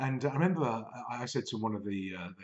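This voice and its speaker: Behind the speaker there is little sound. He is a man. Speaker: business coach vlogger. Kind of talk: casual vlog chat. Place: home room. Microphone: webcam.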